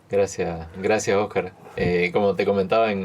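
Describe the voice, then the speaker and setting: Fairly quick in pace, a man speaks with fairly low pitch. His intonation stays fairly even. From Bolivia, Santa Cruz. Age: 30s. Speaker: lawyer and lecturer. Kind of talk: testimony interview.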